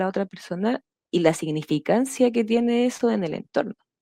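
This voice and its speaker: A woman speaks at a fairly slow pace with a dark, mellow tone. The sound is dry and close, with no echo. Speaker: Biodanza facilitator, podcast guest. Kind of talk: interview answer.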